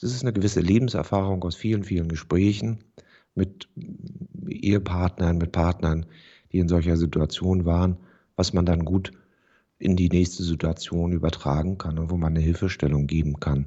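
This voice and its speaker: A very deep, low male voice at a moderate pace, with fairly even intonation and long, frequent pauses. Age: 50s. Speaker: real estate agent. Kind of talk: interview. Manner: formal.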